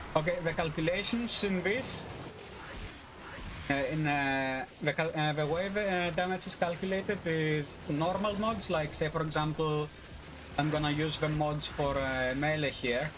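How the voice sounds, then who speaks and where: A man with a Greek accent talks at a fairly slow pace. His voice is fairly high, with ordinary pitch variation. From Greece. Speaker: video game streamer. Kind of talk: live gameplay stream, casual chat with viewers. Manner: loud; halting, many fillers.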